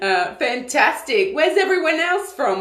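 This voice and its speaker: A woman talks at a fairly slow pace with very wide pitch swings. Audible room echo and noticeable background noise fill the recording. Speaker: online community leader and coach. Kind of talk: live Q&A stream. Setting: live video stream.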